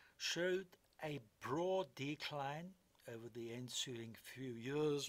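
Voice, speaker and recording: Here a man talks very slowly. His pitch is fairly high. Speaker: investment commentator. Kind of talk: podcast commentary on markets.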